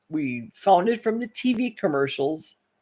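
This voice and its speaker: A woman's unremarkable speaking voice, fairly slow, with lively intonation. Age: 60s. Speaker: YouTube live stream host. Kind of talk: casual live stream chat.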